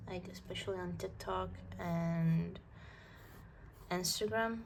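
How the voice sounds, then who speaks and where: Audible room echo surrounds this woman's voice. She speaks very slowly in a non-native accent. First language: not English. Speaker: art vlogger. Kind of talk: casual chat while drawing. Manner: halting.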